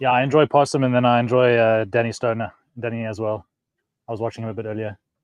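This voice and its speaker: A man with a South African accent at a very fast pace, in a monotone, flat intonation. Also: medium pitch for a man. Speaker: fishing channel host. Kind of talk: casual chat. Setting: outdoors on a boat on a lake. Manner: hesitant, many fillers.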